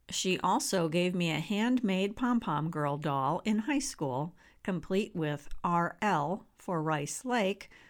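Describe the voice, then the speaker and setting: A woman with a Wisconsin accent, fairly low in pitch and very slow, with lively intonation on a very clean recording with a silent background. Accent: Upper Midwest (Wisconsin). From US Midwest, rural northwest Wisconsin. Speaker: memoir author. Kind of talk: reading aloud.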